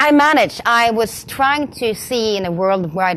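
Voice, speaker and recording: With a Swedish accent, a woman speaks at a fairly slow pace with lively intonation and a fairly high pitch, against noticeable background noise. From Sweden. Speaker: community manager. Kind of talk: conference talk. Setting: stage with audience. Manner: halting.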